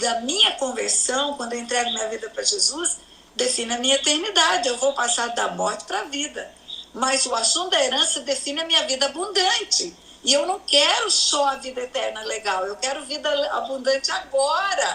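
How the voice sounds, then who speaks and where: Over noticeable background noise, a woman projects a raised, high-pitched voice with lively intonation. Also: moderate pace. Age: 70s. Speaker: pastor. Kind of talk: religious teaching in interview.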